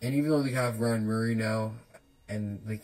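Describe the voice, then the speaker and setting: A man mumbles at medium pitch with fairly even intonation. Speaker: hockey podcaster. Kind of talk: casual solo podcast talk. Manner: mumbling, many filler words.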